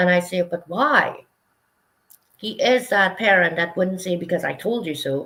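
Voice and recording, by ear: This woman's voice sits fairly low and has a fairly bright tone. She talks fairly slowly, with lively intonation.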